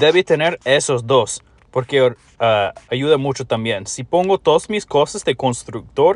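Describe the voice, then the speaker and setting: This man has a non-native accent and a fairly high pitch. His intonation is lively. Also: fairly slow pace, quiet background. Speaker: mobile game YouTuber. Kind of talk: tutorial. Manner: halting, with fillers.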